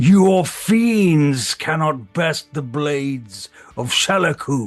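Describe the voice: Using a put-on character voice, a man speaks very slowly with fairly high pitch and lively intonation. Faint music sits in the background.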